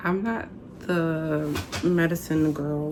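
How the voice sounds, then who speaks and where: There is noticeable background noise behind a woman whose voice has a fairly low pitch. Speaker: vlogger. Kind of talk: personal vlog.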